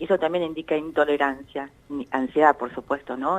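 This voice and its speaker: A woman with a very deep, low pitch speaks at a very fast pace, her intonation fairly even. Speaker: psychologist, director of an anxiety disorders center. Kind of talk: radio interview answer, explanatory.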